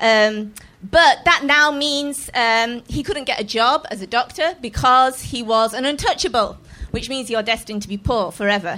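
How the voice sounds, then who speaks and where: A woman with an English accent speaks at a moderate pace and a high pitch, her tone bright and sharp and her intonation lively. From England. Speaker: comedian. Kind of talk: stand-up. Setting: stage with audience.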